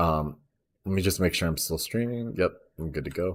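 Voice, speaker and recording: This is a man's voice. The recording is very clean, with a silent background. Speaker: gaming tutorial streamer. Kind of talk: tutorial. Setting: live stream. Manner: speech disorder, unfinished sentences.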